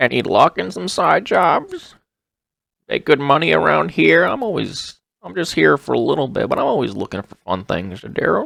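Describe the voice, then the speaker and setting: Medium in pitch, a man does a put-on character voice. His pace is moderate. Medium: actual play. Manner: friendly, hesitant.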